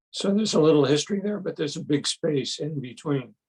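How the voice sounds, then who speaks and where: Somewhat breathy, a man's voice carries lively intonation. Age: old. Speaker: Buddhist studies scholar. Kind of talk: lecture. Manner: halting.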